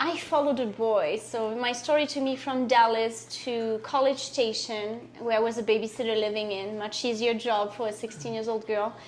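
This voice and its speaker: Fairly high-pitched woman's voice in a French accent, fairly even intonation, a moderate pace, hardly any pauses, and noticeable background noise. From France. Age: 40s. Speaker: guest telling her life story. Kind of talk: interview testimony.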